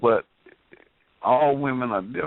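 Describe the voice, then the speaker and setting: The man's pitch sits in the medium range. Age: 60s. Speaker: call-in participant on talk radio. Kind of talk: casual chat.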